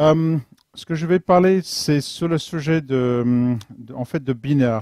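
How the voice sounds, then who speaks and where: A man with an English accent has a dark, mellow tone and ordinary pitch variation, recorded dry and close with no echo. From London, England. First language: English (speaking French). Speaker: software engineer, conference speaker. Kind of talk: technical talk. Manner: halting, searching for French words.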